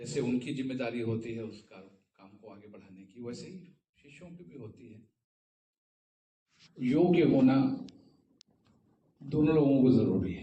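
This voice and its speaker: In a room with audible echo, a man with a medium-pitched, somewhat breathy voice speaks with long, frequent pauses and big swings in loudness. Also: ordinary pitch variation. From India, Varanasi. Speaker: tabla player. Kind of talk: talk at a seminar. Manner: formal.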